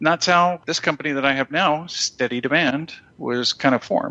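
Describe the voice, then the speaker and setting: A man with an American accent has an ordinary speaking voice. He keeps a moderate pace and ordinary pitch variation. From New Jersey. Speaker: social media business owner. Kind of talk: casual interview.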